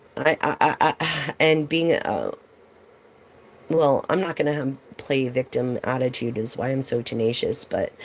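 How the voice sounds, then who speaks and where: A woman talks at a moderate speed while noticeable noise runs in the background. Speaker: tarot reader. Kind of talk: live stream tarot reading with casual chat. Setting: live stream. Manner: animated.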